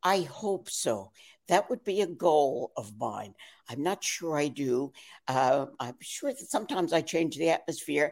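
A woman with a very deep, low voice and an American accent, fairly slow pace and very wide pitch swings. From New York. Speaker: actress. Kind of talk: casual chat.

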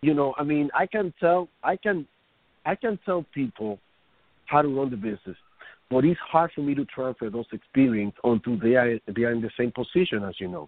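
Lively intonation marks a man speaking at medium pitch and a moderate pace. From Dominican Republic, raised in Washington Heights, New York City. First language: Spanish. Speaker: franchise founder. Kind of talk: interview. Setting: phone call.

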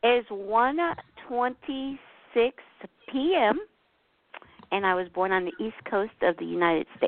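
A woman with a New Jersey accent speaks at a fairly slow pace, with long, frequent pauses. Her pitch is fairly high and her intonation lively. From New Jersey, US (Newark). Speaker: astrology reading client. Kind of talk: on-air astrology consultation.

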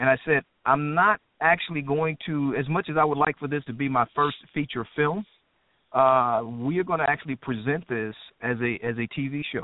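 Here is a man with an American accent and a plain, everyday voice. He speaks at a moderate pace, fairly high in pitch, with ordinary pitch variation. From Indianapolis, Indiana; military family. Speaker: actor, writer and director. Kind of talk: casual chat.

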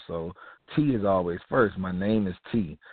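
A man's fairly low, animated voice in an American accent, moderate in pace with ordinary pitch variation. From US South, Mobile, Alabama. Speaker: radio talk show host and community activist. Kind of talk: monologue on a talk show.

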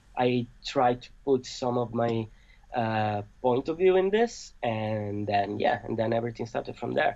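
Speaking at a fairly slow pace with an Italian accent, a man uses a medium pitch with ordinary pitch variation. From Italy.

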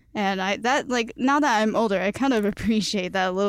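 Someone with a Cantonese accent speaks at a very fast pace. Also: woman. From Chicago, US. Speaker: guest. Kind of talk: casual chat.

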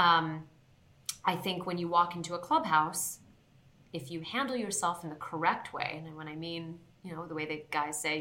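The speech moves at a moderate pace. Noticeable background noise and audible room echo come through. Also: woman. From Southern California, born in Queens, New York. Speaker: sports television host. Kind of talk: interview.

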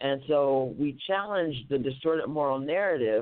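The speaker uses an American accent, a fairly slow pace and ordinary pitch variation. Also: woman. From US West, Oakland. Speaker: community organizer. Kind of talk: casual interview. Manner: excited.

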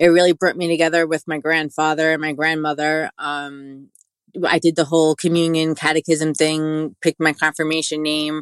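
A woman speaks with a New York accent in a very deep, low voice and a flat monotone. The sound is dry and close with no echo, over a quiet background. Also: moderate pace. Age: 40s. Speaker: integrative wellness guide. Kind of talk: interview.

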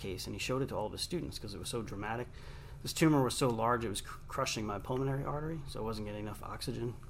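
A man speaks at a medium pitch with ordinary pitch variation. Room echo is audible. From Long Island, New York. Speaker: radio host and author. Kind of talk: interview. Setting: studio.

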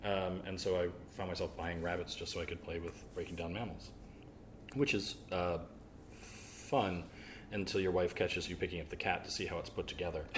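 A man with an American accent speaks at a fairly quick pace, with a very deep, low pitch and ordinary pitch variation. His voice is somewhat breathy, with long, frequent pauses. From US South. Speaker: butcher. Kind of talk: interview.

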